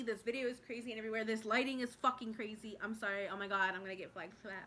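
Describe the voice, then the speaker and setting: A woman's medium-pitched voice has a bright, sharp tone. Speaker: vlogger, trucking student. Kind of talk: casual vlog. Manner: fast, filler-heavy.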